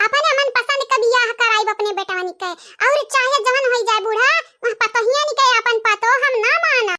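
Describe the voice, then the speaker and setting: At a moderate pace, someone speaks in a cartoonish character voice with ordinary pitch variation, and the sound is dry and close with no echo. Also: woman, extremely high pitch for a woman. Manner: scolding, scornful.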